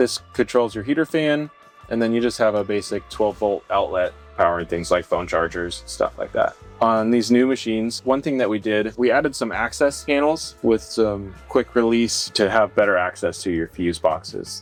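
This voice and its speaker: Music plays behind a man with an American accent and a medium pitch. He talks at a moderate pace with lively intonation. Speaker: manufacturer employee explaining the product. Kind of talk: casual factory tour explanation.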